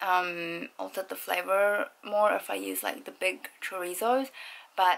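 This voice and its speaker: Fairly slow speech from a woman. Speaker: home vlogger. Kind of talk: casual vlog chat. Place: home room. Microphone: phone near.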